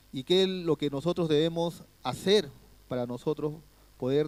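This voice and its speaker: In a very clean recording with a silent background and a dry, close sound with no echo, a man with a fairly high pitch talks at a moderate pace with ordinary pitch variation. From Peru. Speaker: guest pastor. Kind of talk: sermon. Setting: church.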